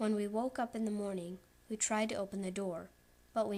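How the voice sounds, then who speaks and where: A woman at a medium pitch and moderate pace, on a very clean recording with a silent background. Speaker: creepypasta narrator. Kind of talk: horror story reading. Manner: loud.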